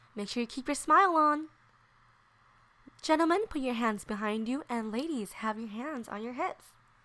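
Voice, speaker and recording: Upbeat woman's voice, high-pitched with very wide pitch swings and a bright, sharp tone. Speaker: elementary school teacher. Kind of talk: children's dance tutorial. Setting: voiceover. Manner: sweet, upbeat.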